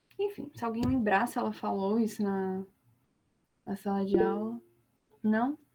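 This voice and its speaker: At a fairly slow pace with long, frequent pauses, a woman speaks in a somewhat breathy, dark, mellow tone at a medium pitch, her intonation lively. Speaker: law student tutor. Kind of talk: lecture.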